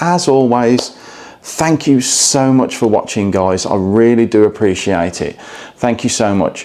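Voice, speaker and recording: With noticeable background noise behind him, a man with an English accent speaks at a medium pitch with lively intonation. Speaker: travel vlogger. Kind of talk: hotel review vlog. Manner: quiet, low volume; hesitant, many fillers.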